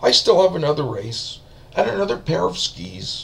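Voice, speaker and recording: At a moderate pace, a man puts on a raspy character voice pitched fairly high. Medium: read story. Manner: friendly, upbeat.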